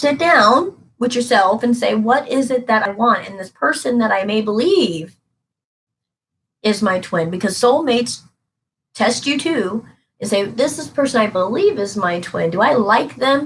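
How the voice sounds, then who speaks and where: This woman has a normal speaking voice, fairly high in pitch, with lively intonation, big swings in loudness and a moderate pace. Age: 30s. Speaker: tarot reader. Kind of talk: live stream reading. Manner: casual, conversational.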